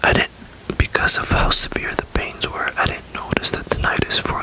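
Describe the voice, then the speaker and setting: Under noticeable background noise, a whisper unfolds at a fairly slow pace. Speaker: ASMR creator. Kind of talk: casual talk to camera, personal ramble. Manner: soft-spoken, rambling, hesitant.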